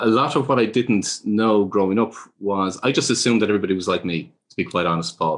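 A man with a Dublin accent and a fairly low pitch speaks at a moderate pace against a quiet background. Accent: Irish (Dublin). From Ireland. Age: 50s. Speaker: author and speaker on life purpose. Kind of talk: interview.

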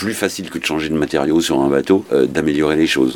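A man at a fairly quick pace with ordinary pitch variation, amid noticeable background noise. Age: 50s. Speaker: offshore sailor. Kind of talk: interview. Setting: on a boat. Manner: halting.

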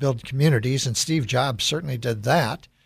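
Somewhat breathy male voice at medium pitch with an American accent, fairly even intonation, and a very clean recording over a silent background. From US Midwest, Chicago. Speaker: radio host and CEO. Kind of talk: radio interview.

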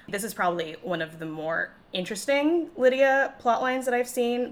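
Speaking with a Chicago accent, a woman keeps a moderate pace and lively intonation. Noticeable background noise is present. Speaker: podcast host.

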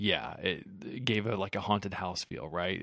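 In a very clean recording with a silent background, a man speaks in an ordinary speaking voice with a fairly low pitch. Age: 30s. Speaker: movie podcast co-host. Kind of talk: casual chat.

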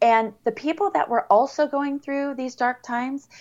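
In a Californian accent, a woman speaks at a fairly slow pace. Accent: General American (Californian). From US West Coast (San Diego area, California). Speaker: blind blogger and fitness instructor. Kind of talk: casual interview.

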